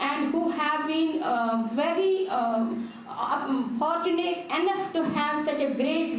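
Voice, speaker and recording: With audible room echo and light background noise, a woman talks at a very slow pace with ordinary pitch variation. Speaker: guest. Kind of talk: formal welcome address. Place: hall. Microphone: podium.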